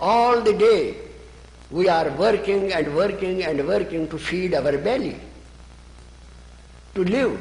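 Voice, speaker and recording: A man with an Indian accent talks at a very slow pace, his high pitch moving with ordinary variation and broken by long, frequent pauses. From Kashmir, northern India. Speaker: spiritual author. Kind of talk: interview answer.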